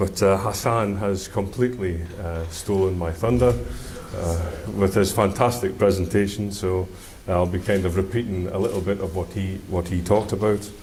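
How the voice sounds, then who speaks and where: Against noticeable background noise and audible room echo, a man speaks with a Scottish accent. His pitch is fairly low, his pace moderate and his intonation fairly even. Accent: Scottish, can be difficult to follow. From Scotland. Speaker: engineer. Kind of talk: conference presentation. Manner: hesitant, many fillers.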